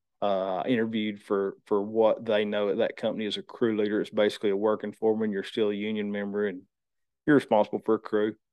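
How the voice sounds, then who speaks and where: A man with a north Georgia accent speaks very fast in a fairly low pitch, his intonation monotone and flat. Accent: Southern US (north Georgia). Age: 30s. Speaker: lineman and training school owner. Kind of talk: casual interview.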